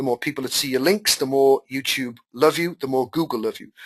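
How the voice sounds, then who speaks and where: Fairly quick speech with ordinary pitch variation, a dry, close sound with no echo, and a quiet background. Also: man. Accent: Welsh. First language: Welsh. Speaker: online marketing teacher. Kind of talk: live webinar tutorial. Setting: webinar call. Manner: casual, animated.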